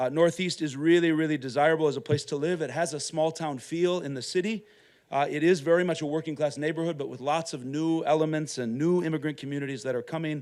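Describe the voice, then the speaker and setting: A man with an American accent talks at a very fast pace and a fairly high pitch. His intonation is fairly even, on a very clean recording with a silent background. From Minnesota, US Upper Midwest. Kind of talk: conference talk. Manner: loud.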